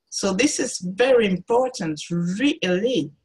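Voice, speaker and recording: A woman's lively intonation comes through in a somewhat breathy voice. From France, Cameroonian parents. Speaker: artist. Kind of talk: interview. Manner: halting.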